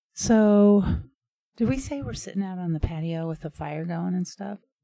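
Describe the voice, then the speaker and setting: Quiet and fairly low-pitched, a woman speaks at a moderate pace in a dark, mellow tone with ordinary pitch variation. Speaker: podcast co-host. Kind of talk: casual chat. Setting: outdoors on back patio by a fire.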